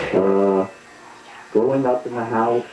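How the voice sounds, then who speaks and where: At a very slow pace, a man with an American accent speaks at medium pitch over noticeable background noise. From Utah, US (Salt Lake City). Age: 60s. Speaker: caller. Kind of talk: call-in radio conversation, personal story.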